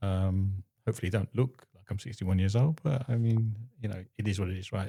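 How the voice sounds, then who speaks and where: A man talks at a fairly quick pace with a fairly low pitch and a dark, mellow tone that is somewhat breathy. The recording is very clean with a silent background. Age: 60s. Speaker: husband of a woman in menopause. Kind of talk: interview. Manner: halting.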